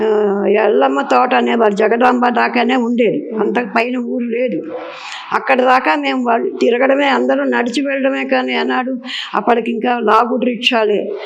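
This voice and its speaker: Her fairly high-pitched voice swinging very widely in pitch, a woman is heard with audible room echo and noticeable background noise. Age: 80s+. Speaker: elderly interviewee. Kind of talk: interview. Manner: clear and loud.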